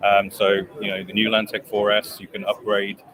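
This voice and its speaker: Noticeable background noise behind a man's fairly quick pace. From England. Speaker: company executive. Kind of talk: product pitch in interview. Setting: trade show booth.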